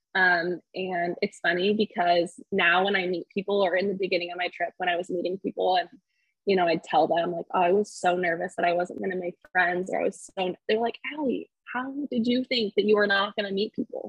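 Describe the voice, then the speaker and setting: A woman with a medium pitch talks fairly quickly, her intonation fairly even. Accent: Californian. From California, Fresno area. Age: 20s. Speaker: solo traveler and speech-language pathologist. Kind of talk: interview, casual chat.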